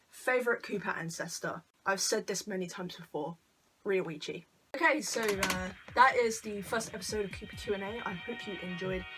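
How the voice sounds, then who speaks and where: Music plays behind speech at a moderate pace that swings widely in loudness. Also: woman, medium pitch for a woman, ordinary pitch variation. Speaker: YouTuber. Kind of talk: casual Q&A vlog. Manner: stuttering, hesitant; awkward, halting.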